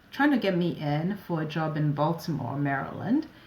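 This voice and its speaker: A woman speaks at a moderate pace. Room echo can be heard. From West Africa (Ivory Coast and Ghana). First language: French. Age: 40s. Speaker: operations advisor and entrepreneur. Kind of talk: interview conversation.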